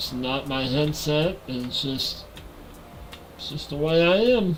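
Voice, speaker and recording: Amid noticeable background noise and audible room echo, a man with a fairly high pitch talks at a very slow pace with ordinary pitch variation. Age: 40s. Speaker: gaming livestreamer. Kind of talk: casual livestream chat.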